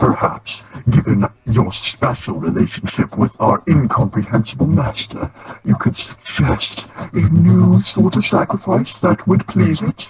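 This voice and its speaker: Using a put-on character voice, a man speaks at a fairly slow pace and a medium pitch. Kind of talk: mock-solemn dramatic cult speech. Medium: game stream. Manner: grandiose, solemn, overly dramatic.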